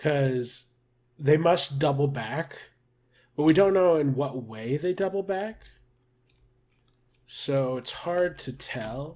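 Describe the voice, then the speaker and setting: Long, frequent pauses interrupt the talking. Its pace is very slow. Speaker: gaming lore youtuber. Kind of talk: let's play commentary. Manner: casual, halting with filler words.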